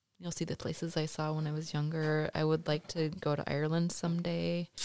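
A woman with an American accent speaks at a moderate pace in a very deep, low pitch, with a dark, mellow tone and monotone, flat intonation. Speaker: host's mother. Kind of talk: casual chat. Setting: home studio.

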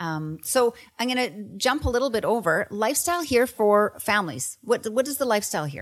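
A woman with a Western Canadian accent speaks with very wide pitch swings on a very clean recording with a silent background. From Canada, Kelowna, British Columbia. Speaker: real estate agent, podcast co-host. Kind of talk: casual chat.

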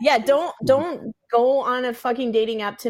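Speaking at a fairly slow pace with an American accent, this is a normal speaking voice with ordinary pitch variation. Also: woman. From Seattle, US West Coast. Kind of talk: casual chat.

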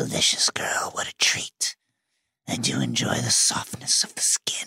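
A man's raspy, menacing whisper in a put-on character voice, at a moderate pace. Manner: menacing, predatory.

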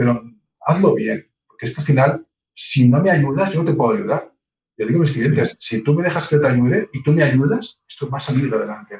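A man speaks at a fairly quick pace with lively intonation. His voice is fairly high and somewhat breathy. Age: 50s. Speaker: real estate agency owner. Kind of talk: interview.

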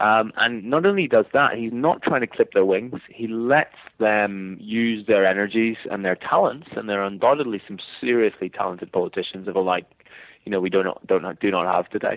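With a Northern Irish accent, this man talks at a fairly quick pace, his fairly low pitch showing ordinary variation. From Northern Ireland. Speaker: history professor and author. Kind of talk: interview about a book. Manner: measured, hesitant with fillers.

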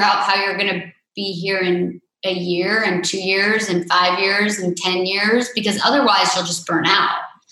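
With audible room echo, a woman talks at a fairly slow pace, her medium pitch held in fairly even intonation. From Vermont. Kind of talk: interview.

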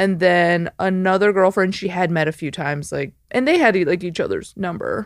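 This is a plain, everyday voice: a woman with an American accent, medium pitch and ordinary pitch variation, speaking at a moderate pace with hardly any pauses. The recording is very clean, with a silent background. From Chicago suburbs, US Midwest. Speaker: stand-up comedian. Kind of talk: casual chat.

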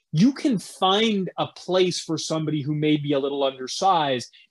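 A man speaks in a plain, everyday voice at a fairly high pitch and a moderate pace, with ordinary pitch variation. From Virginia (born in Louisiana). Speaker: local TV sports journalist. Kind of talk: casual sports chat.

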